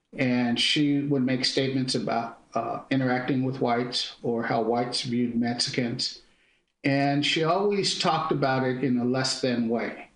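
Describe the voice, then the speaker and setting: Very even loudness and fairly even intonation in an American accent, with audible room echo. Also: man, medium pitch for a man, moderate pace. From San Francisco Bay Area, California. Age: 60s. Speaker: diversity consultant. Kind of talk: radio interview.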